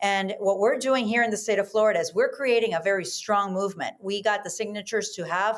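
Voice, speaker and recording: A woman's medium-pitched voice with a Spanish accent and ordinary pitch variation. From South America. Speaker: Senate candidate. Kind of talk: interview.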